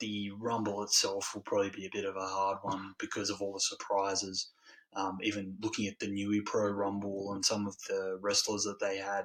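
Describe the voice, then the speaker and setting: A man with an Australian accent talks at a fairly quick pace in a fairly low pitch, his intonation flat and monotone. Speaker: wrestling podcast host. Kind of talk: solo podcast review. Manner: hesitant, many filler ums.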